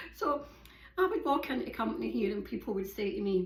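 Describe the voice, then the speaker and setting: A woman with a Glaswegian accent at a fairly quick pace. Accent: Glaswegian Scottish. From Scotland, Glasgow. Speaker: yoga and hiking vlogger. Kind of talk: casual monologue. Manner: fast.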